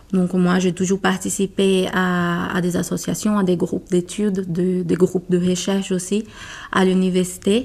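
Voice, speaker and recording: In a Portuguese accent, a woman speaks fairly slowly at medium pitch with monotone, flat intonation. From Brazil. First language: Portuguese (speaking French). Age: 30s. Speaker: corporate lawyer. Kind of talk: interview. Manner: halting.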